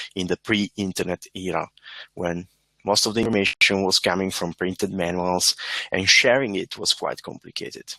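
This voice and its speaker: A man with an Italian accent speaks at a moderate pace and a fairly low pitch. The recording is very clean, with a silent background and a dry, close sound with no echo. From Italy. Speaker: embedded software engineer, conference speaker. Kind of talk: conference talk. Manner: hesitant, with fillers.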